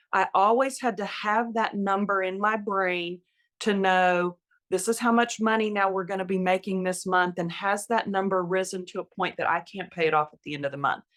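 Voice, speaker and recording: A woman with an unremarkable speaking voice, medium pitch and fairly even intonation, her loudness swinging widely, in a very clean recording with a silent background. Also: moderate pace. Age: 60s. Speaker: retired nurse, podcast guest. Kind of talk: interview conversation. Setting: podcast interview.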